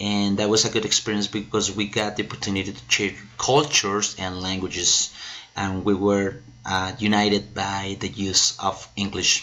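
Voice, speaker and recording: Someone with a Spanish accent talks at a moderate pace with fairly even intonation. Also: man, fairly low pitch for a man. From Colombia. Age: 30s. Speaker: English and Spanish teacher. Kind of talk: self-introduction video. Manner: hesitant, many fillers.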